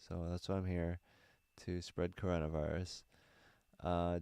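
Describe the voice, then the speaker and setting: A man's very deep, dark, mellow voice at a fairly slow pace, monotone and flat, on a very clean recording with a silent background. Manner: slow talker.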